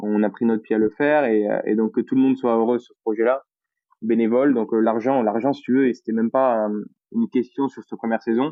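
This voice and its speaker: A man talks very fast in a Toulouse accent, his medium pitch held in a monotone, flat intonation. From France, Toulouse. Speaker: project founder. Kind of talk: casual podcast interview.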